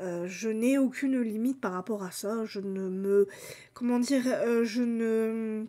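Pausing long and often, a woman with a dark, mellow tone speaks with ordinary pitch variation. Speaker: book YouTuber; book vlogger. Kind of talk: casual video monologue. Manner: hesitant, many fillers. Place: home room. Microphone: webcam.

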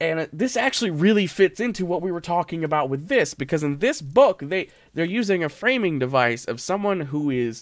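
Against a quiet background, a man speaks at a fairly quick pace with hardly any pauses. His pitch makes very wide swings. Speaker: game streamer. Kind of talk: casual gameplay commentary. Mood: musing, wry humor. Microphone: studio mic.

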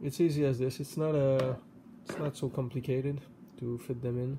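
A man speaks with a dark, mellow tone that is somewhat breathy and a monotone, flat intonation. Noticeable background noise runs behind him. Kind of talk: tutorial. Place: home room. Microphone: phone near.

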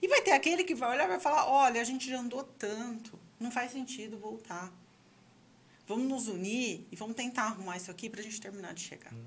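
With lively intonation and big swings in loudness, a woman speaks at a fairly quick pace and fairly high pitch. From Brazil. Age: 40s. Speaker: sexologist and psychology professor; psychology professor. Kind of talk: casual chat. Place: studio. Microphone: studio mic.

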